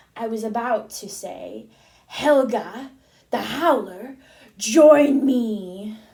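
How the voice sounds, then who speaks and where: Using a put-on character voice, a woman speaks at a fairly high pitch. Her pace is very slow. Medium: read story. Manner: commanding.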